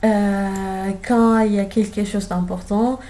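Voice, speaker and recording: Amid audible room echo, a woman speaks at a very slow pace in a medium pitch, her dark, mellow, somewhat breathy voice flat and monotone. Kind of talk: casual guided tour. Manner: hesitant, many fillers.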